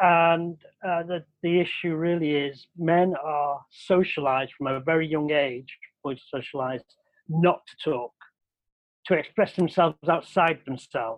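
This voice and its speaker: In a Mancunian accent, a man speaks at a fairly slow pace. His pitch is fairly high and his intonation fairly even. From Manchester, Old Trafford. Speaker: researcher. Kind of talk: casual chat.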